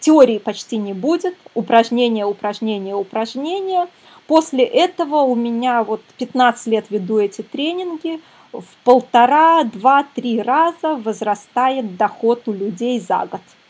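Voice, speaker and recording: A woman speaks in a high voice with lively intonation. Her pace is very slow. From Belarus, Minsk. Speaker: psychologist and parenting coach. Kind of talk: webinar lecture. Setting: online webinar.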